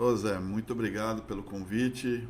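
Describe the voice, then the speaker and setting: A man's fairly low voice holds a fairly even intonation as he speaks. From Brazil, São Paulo city. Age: 60s. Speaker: women's football organizer. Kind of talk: interview. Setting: studio. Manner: halting.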